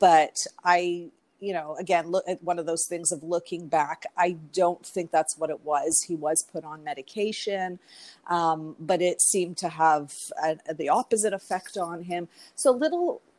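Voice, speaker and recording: Recorded very cleanly against a silent background, with dry, close sound and no echo, a woman with a Canadian accent speaks at a moderate pace in a fairly low pitch with fairly even intonation. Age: 40s. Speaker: mental health coach. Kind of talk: interview testimony. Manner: hesitant, many fillers.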